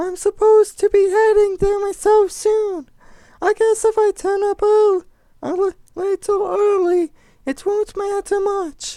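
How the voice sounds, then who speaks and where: Putting on a squeaky character voice, a man talks at a fairly slow pace with an extremely high pitch. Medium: read story.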